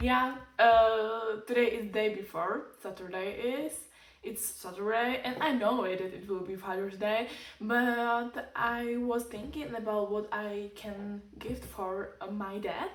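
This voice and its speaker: A woman speaks very slowly at a fairly high pitch with ordinary pitch variation, in a Czech accent. Audible room echo and noticeable background noise surround her. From Czech Republic. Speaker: lifestyle vlogger. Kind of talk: casual vlog tutorial. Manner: halting, hesitant non-native phrasing.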